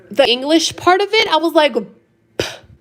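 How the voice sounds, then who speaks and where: The tone is animated. The pace is moderate. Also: woman. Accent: Spanish. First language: Spanish. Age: 30s. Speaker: live-stream host. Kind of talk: casual chat. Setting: home live stream.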